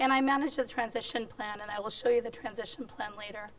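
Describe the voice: Squeaky and fairly high-pitched, a woman speaks.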